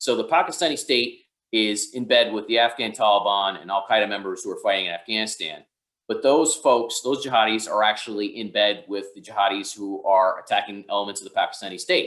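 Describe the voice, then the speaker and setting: A man with a New York accent at a fairly quick pace. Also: medium pitch for a man, ordinary pitch variation. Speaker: counterterrorism expert. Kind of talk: webinar Q&A. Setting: online webinar. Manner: fast.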